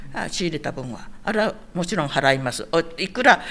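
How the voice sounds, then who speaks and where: A woman at a fairly quick pace. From Okinawa, Itoman. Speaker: Okinawan elder sharing local history. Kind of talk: interview, casual storytelling.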